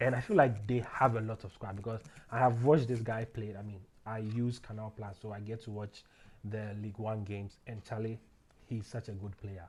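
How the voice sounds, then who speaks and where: A somewhat breathy man talks at a fairly quick pace and a fairly low pitch. His intonation is monotone and flat, while his loudness swings widely. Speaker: football betting tipster. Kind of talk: casual solo commentary on football predictions. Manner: fast; halting, many fillers.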